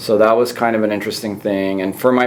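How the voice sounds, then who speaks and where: A man speaks at a fairly low pitch. There is audible room echo and noticeable background noise. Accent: Californian. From Southern California (born in Iran, via Italy). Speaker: physician and podcast host. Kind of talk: casual interview chat. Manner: hesitant, many fillers.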